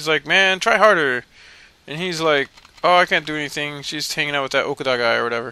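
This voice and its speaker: A man mumbles at a moderate pace. His pitch is fairly high, with ordinary pitch variation. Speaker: video game let's player. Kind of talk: casual gameplay commentary. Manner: mumbling, rambling.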